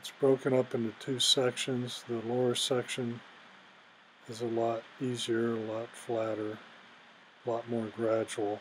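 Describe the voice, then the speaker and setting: Pausing long and often, a man speaks at a fairly slow pace with monotone, flat intonation. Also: medium pitch for a man. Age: 70s. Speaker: hiker narrating his climb video. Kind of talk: voiceover narration.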